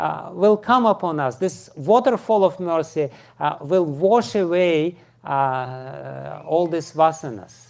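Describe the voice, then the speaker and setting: A man with a strong Russian accent talks very slowly in a high voice, his intonation lively. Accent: thick Russian. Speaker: spiritual teacher. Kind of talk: lecture. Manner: halting, many fillers.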